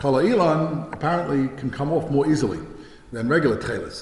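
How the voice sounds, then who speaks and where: With an American accent, a man speaks at medium pitch with ordinary variation, amid audible room echo and noticeable background noise. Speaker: rabbi and yeshiva head. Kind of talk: lecture. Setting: talk at a synagogue study day. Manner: fast; hesitant, many fillers and restarts.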